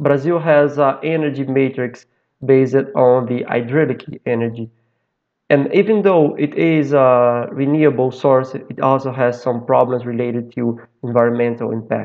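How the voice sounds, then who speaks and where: Quiet background, a man's moderate pace and ordinary pitch variation. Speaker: conference presenter. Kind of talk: conference presentation. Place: home room. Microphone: webcam.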